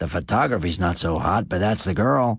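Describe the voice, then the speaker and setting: A man's raspy, put-on character voice, very deep and low, with lively intonation at a moderate pace, on a very clean recording with a silent background. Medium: read story. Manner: gruff, blunt.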